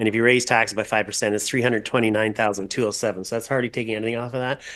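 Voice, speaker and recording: With a Canadian accent, a man speaks at medium pitch with fairly even intonation against a quiet background. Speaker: chief administrative officer. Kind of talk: council meeting discussion.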